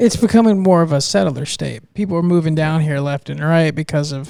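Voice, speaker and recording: This man has a plain, everyday voice, fairly high in pitch with ordinary pitch variation. He speaks at a fairly quick pace on a very clean recording with a silent background. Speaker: podcast host. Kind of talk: casual podcast conversation.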